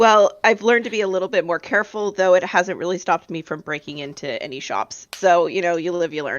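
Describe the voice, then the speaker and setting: A woman does a raspy, put-on character voice at a medium pitch with ordinary pitch variation. She talks at a very fast pace. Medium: actual play. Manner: casual, chatty.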